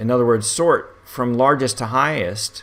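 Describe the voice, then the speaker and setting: A man with a plain, everyday voice, medium pitch, ordinary pitch variation and a fairly slow pace. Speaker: statistics instructor. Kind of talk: tutorial.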